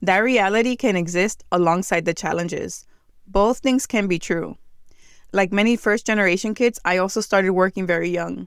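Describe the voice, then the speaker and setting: A speaker with a New Jersey accent talks with fairly even intonation. The recording is very clean, with a silent background. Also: woman. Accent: American English, New Jersey. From New Jersey, US, Dominican American family. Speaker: podcast host. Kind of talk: reflective monologue.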